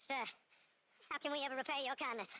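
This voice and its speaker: Very fast, a woman performs a put-on character voice with a high pitch. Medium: video game.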